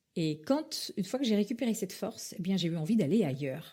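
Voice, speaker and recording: Her voice is dark, mellow and somewhat breathy. This woman speaks at medium pitch. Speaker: former actress, voice-over artist, public speaking coach. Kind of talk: interview answer. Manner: hesitant, conversational.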